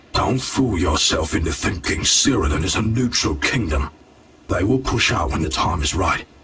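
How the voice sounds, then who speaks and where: Putting on a character voice, a man pitches it very deep and low. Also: moderate pace. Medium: video game. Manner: dry, grim.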